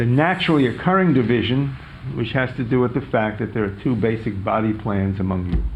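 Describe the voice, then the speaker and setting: A man talks at a fairly quick pace with a New York accent. His voice has vocal fry, and the room echo is audible. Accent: New York American. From US Northeast, New York City. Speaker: professor. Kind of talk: lecture.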